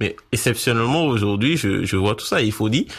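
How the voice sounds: A fairly bright tone with a slightly husky edge, lively intonation, a fairly quick pace, and a Beninese accent. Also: man, fairly low pitch for a man.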